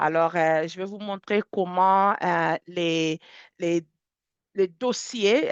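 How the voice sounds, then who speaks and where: A woman with an English accent speaks very slowly with fairly even intonation, the sound dry and close with no echo over a quiet background. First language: English (speaking French). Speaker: software product specialist. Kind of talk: webinar software demonstration. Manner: halting, many fillers and repetitions.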